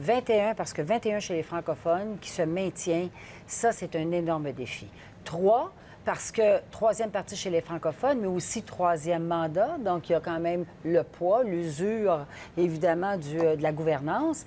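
Over light background noise, a woman with a Quebec accent speaks fairly slowly in a fairly low, dark, mellow tone. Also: ordinary pitch variation. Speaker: political commentator. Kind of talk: panel discussion. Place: studio. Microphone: lapel.

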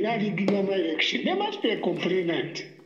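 Audible room echo surrounds the recording. A man speaks at a moderate pace. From Zambia. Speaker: caller. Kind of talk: political commentary monologue. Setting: phone call. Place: home room. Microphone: phone near.

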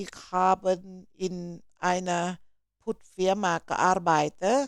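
A woman speaks in a plain, everyday voice at a medium pitch. The sound is dry and close, with no echo. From Thailand, Buriram. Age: 50s. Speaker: YouTuber. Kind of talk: exam practice and casual vlog.

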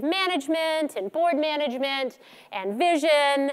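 Against a quiet background, a woman speaks at a high pitch. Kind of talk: conference keynote talk. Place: stage. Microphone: headset.

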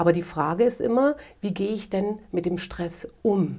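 Against a quiet background, a woman speaks in a dark, mellow tone with ordinary pitch variation. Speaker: guest. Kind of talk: interview answer. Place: home room.

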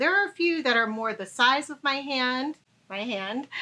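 A woman's raised, projected voice rings out in a high pitch with very wide pitch swings. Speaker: travel vlogger. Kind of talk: casual tutorial.

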